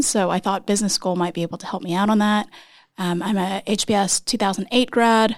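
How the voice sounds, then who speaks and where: A woman with an American accent talks at a fairly quick pace in a normal speaking voice, her intonation fairly even. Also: very clean recording, silent background. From Texas. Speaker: startup CEO. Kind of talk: interview.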